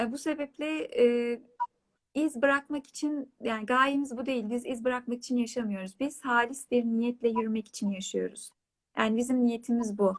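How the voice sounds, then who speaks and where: Her intonation is fairly even and her pace moderate. The woman's pitch is high. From Turkey, Hatay (İskenderun, Payas). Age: 30s. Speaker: writer. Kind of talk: interview on a live online talk show.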